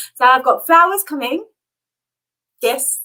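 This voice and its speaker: A raised, projected voice with a bright, sharp tone comes through. It moves at a fairly quick pace with lively intonation. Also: woman. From Namibia. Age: 30s. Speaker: YouTuber. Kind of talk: live stream chat. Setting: live stream. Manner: animated.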